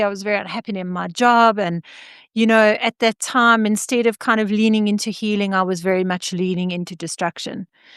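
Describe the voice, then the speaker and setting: A woman's fairly high, energetic voice at a fairly quick pace, dry and close with no echo, against a quiet background. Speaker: trauma-informed coach. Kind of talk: interview. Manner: loud.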